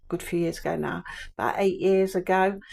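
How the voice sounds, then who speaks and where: A woman with an English accent, in a very clean recording over a silent background. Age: 60s. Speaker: vlogger. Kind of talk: garden tour vlog. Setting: outdoors in garden. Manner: casual, meandering.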